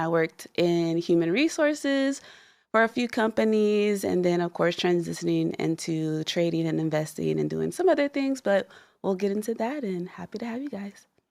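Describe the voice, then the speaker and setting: A woman with a normal speaking voice, medium in pitch, at a moderate pace with lively intonation, in a very clean recording with a silent background. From Texas, San Antonio. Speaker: trader, former HR worker. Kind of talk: podcast introduction.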